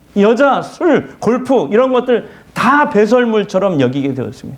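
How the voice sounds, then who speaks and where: A man speaks at a moderate pace, with audible room echo in the recording. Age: 70s. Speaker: pastor. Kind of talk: sermon.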